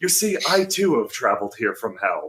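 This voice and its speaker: Breathy put-on character voice from a man at a moderate pace. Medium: actual play. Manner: courteous, mildly wry.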